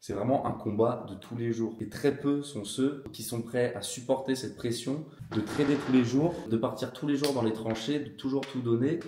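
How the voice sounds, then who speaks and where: A man at a medium pitch talks at a fairly slow pace with fairly even intonation. Audible room echo and noticeable background noise surround him. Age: 20s. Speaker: trading educator. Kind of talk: casual talk to camera.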